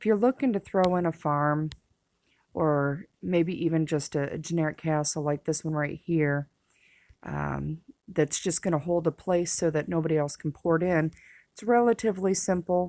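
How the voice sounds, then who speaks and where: This woman has a normal speaking voice, fairly low in pitch, with ordinary pitch variation. She keeps a moderate pace on a very clean recording with a silent background. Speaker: gaming tutorial creator. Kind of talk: game tutorial. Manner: casual with fillers.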